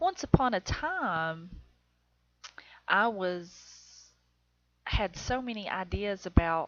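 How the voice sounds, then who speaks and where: A woman with an Appalachian accent speaks at a very slow pace. Her voice sits at a medium pitch, with lively intonation. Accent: Southern US, Appalachian. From Southern United States. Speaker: self-taught painter. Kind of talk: narrated painting video, casual talk. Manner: casual, chatty, hesitant.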